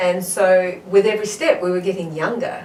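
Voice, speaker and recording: There is audible room echo and noticeable background noise as a woman speaks at a medium pitch. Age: 60s. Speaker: marathon runner and health advocate. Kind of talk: interview.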